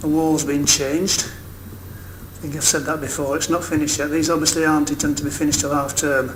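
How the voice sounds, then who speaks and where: Over noticeable background noise and audible room echo, a man speaks at a fairly quick pace and fairly high pitch with hardly any pauses. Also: ordinary pitch variation. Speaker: video blogger filming building progress. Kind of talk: walkthrough narration. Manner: halting.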